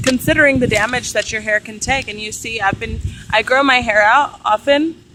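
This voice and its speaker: Noticeable background noise sits behind this voice. A woman talks with a fairly high pitch. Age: 20s. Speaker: vlogger. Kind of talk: personal vlog monologue. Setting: outdoors. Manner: animated.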